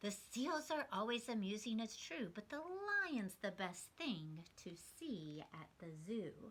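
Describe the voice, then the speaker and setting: A woman uses a put-on character voice, fairly high-pitched with very wide pitch swings. She talks at a fairly slow pace with hardly any pauses. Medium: read story.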